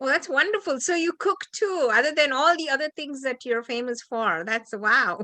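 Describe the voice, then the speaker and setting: A woman speaks in a raised, projected voice at a high pitch, bright and sharp in tone, at a moderate pace with hardly any pauses, very wide pitch swings, and a dry, close sound with no echo. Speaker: interviewer. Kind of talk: interview.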